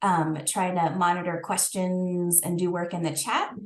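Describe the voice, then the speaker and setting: A woman speaks in a plain, everyday voice at a moderate pace. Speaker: librarian. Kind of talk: online workshop. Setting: video call.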